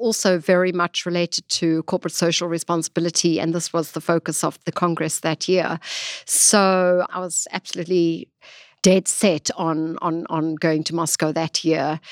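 A woman's fairly low voice at a moderate pace, dry and close with no echo, in a very clean recording with a silent background. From South Africa. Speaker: gemstone industry sales and marketing executive. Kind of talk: podcast interview. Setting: studio. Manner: animated.

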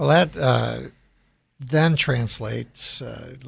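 A somewhat breathy man's voice with an American accent, on a very clean recording with a silent background. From US Midwest, Chicago. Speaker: radio host and CEO. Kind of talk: radio interview.

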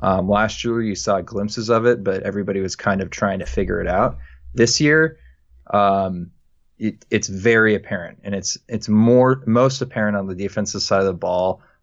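A man with a plain, everyday voice speaks at a moderate pace, his fairly low pitch rising and falling in an ordinary way. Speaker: guest sports talker. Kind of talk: casual chat.

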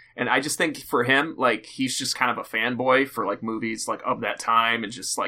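Fairly quick in pace, a man talks in an unremarkable speaking voice of medium pitch. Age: 20s. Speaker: comedy show producer and host. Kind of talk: casual chat.

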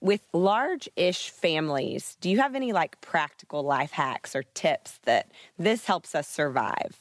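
A woman's fairly low voice at a fairly slow pace, very wide pitch swings and hardly any pauses. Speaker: podcast host. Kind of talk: casual chat.

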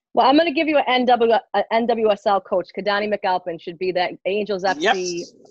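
With an unremarkable speaking voice at medium pitch, a woman talks at a moderate pace with lively intonation, the sound dry and close with no echo. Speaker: soccer coach and advocate. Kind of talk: panel discussion. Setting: video call.

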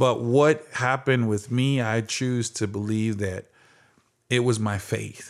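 On a very clean recording with a silent background, a man with an American accent talks at a fairly slow pace in a normal speaking voice. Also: medium pitch for a man, fairly even intonation. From Phoenix, Arizona. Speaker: former athlete and speaker. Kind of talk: interview.

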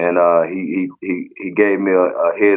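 A man speaks in a Mississippi accent. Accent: US Southern (Mississippi). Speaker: football player. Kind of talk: interview.

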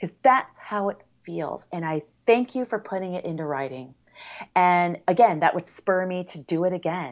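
A woman's fairly low voice in a Californian accent, at a moderate pace, with lively intonation and big swings in loudness. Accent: General American (Californian). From US West Coast (San Diego area, California). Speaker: blind blogger and fitness instructor. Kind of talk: casual interview.

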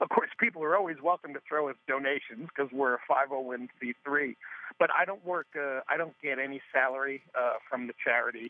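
This is a normal speaking voice at a moderate pace, in an American accent, and its pitch varies in an ordinary way. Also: man, fairly high pitch for a man. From New York area. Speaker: grief workshop founder and improv comedian. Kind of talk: interview.

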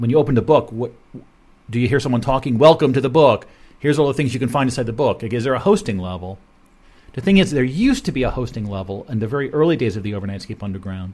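A man talks at a very fast pace with lively intonation and a medium pitch. His voice is somewhat breathy. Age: 50s. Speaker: radio show host. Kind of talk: solo monologue. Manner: halting.

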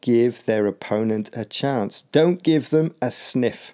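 A man with a British accent speaks in a dark, mellow tone with ordinary pitch variation, on a very clean recording with a silent background. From UK. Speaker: podcast host and English teacher. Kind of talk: educational podcast explanation. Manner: clear and measured.

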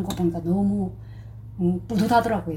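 A woman talks fairly quickly, with audible room echo and noticeable background noise. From North Korea. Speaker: North Korean defector, dressmaker. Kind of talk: personal testimony interview.

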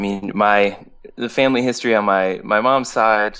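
A man with an American accent talks at a fairly slow pace with fairly even intonation in an unremarkable speaking voice. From Berkshires, western Massachusetts. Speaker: singer-songwriter. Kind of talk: casual interview chat.

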